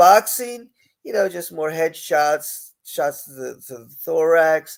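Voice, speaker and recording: An animated man with an American accent. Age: 70s. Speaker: podcast host. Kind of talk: live-stream talk show. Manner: casual, animated.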